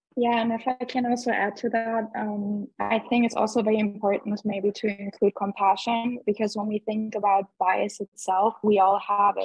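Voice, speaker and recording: Over a quiet background, a woman talks at a moderate pace with a fairly high pitch, monotone, flat intonation and hardly any pauses, in a dry sound with no echo. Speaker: event participant. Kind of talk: casual discussion. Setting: video call. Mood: thoughtful, conversational. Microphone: video call.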